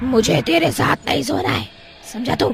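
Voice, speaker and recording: A raspy, fairly high-pitched cartoonish character voice over clear background noise. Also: moderate pace. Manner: menacing under a pretend meekness.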